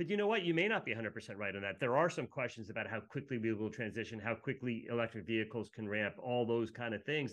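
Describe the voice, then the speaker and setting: With a plain, everyday voice, a man talks at medium pitch with ordinary pitch variation. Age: 50s. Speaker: energy equity research analyst. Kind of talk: casual interview chat. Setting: video call.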